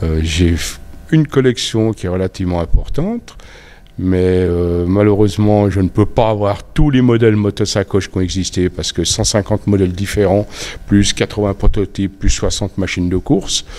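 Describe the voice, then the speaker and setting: Dark and mellow, this man's voice sits fairly low in pitch. He speaks at a moderate pace with ordinary pitch variation. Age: 70s. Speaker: motorcycle collector. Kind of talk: interview. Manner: halting.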